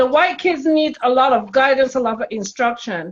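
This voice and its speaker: A woman's high voice with a Caribbean accent and ordinary pitch variation. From Caribbean, Barbados. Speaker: spiritual intuitive, childcare worker. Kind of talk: casual interview chat.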